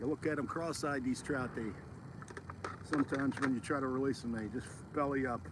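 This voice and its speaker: In an American accent, a man talks at medium pitch and a fairly quick pace. He takes long, frequent pauses, with noticeable background noise behind him. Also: fairly even intonation. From Philadelphia, US. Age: 60s. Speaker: fishing vlogger. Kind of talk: casual vlog narration. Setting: outdoors at a pond.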